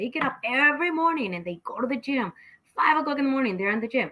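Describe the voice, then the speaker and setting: Speaking at a very fast pace in a Mexican accent, a woman uses a high pitch and lively intonation. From Mexico, Guadalajara. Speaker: talk show host. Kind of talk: casual chat. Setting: home studio, live stream.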